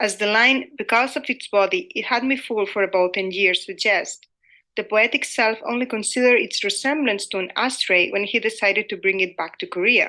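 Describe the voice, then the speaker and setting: A woman's fairly high, bright, sharp voice in a Spanish accent at a fairly quick pace. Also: ordinary pitch variation. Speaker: academic lecturer. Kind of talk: conference presentation. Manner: formal.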